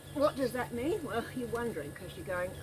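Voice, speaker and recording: Noticeable background noise sits behind a woman speaking with an Australian accent. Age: 60s. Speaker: smallholder, goat keeper and gardener. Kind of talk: casual vlog narration. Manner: casual, with fillers.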